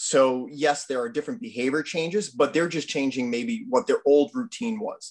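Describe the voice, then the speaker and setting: A man in a Boston accent at a fairly quick pace, with very wide pitch swings. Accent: Boston-area New England. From Easton, Massachusetts. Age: 30s. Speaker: conservation commission member, outdoorsman. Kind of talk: casual talk on a video call.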